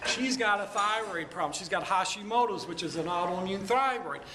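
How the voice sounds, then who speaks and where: Raising and projecting his voice, a man with an American accent talks at a moderate pace with ordinary pitch variation, amid noticeable background noise and audible room echo. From Michigan, Detroit area. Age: 50s. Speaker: chiropractor. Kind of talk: talk to a networking group. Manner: animated.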